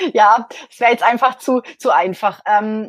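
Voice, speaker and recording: The pitch of this woman's voice is fairly high. She talks at a moderate pace. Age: 40s. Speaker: accountant. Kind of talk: interview testimony. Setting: live online interview. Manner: hesitant, many fillers.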